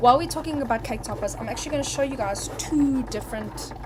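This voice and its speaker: The speech comes at a very fast pace. Noticeable background noise and audible room echo fill the recording. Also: woman. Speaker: crafting instructor. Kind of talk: live tutorial. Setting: live stream. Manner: animated.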